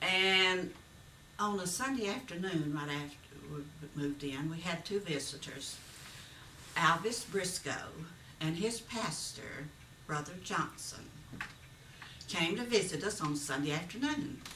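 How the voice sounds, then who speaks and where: In a Southern US accent, a woman with a fairly low pitch talks at a fairly slow pace with lively intonation and long, frequent pauses. Room echo is audible, and background noise is noticeable. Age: 80s+. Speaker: retired schoolteacher. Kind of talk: personal reminiscence.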